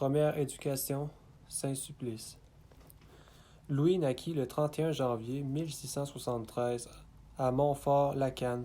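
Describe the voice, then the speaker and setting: A man with a Canadian French accent talks at a fairly slow pace, with long, frequent pauses and flat, monotone intonation. His fairly high voice has a dark, mellow tone on a very clean recording with a silent background. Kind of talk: religious biography reading.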